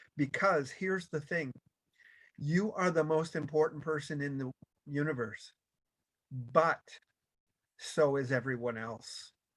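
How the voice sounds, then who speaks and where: This man's fairly high voice moves at a fairly slow pace with ordinary pitch variation and long, frequent pauses. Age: 60s. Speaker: motivational speaker. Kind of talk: motivational talk. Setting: video call.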